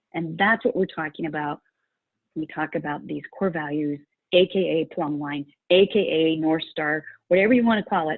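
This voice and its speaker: With an American accent, a woman talks at a moderate pace with ordinary pitch variation. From rural Utah. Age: 60s. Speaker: values coach and course creator. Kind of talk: interview.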